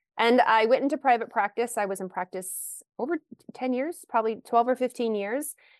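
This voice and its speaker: A woman with an American accent and a fairly high pitch, an ordinary speaking voice at a moderate pace, dry and close with no echo, over a quiet background. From Kentucky, US. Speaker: naturopathic physician. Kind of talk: interview.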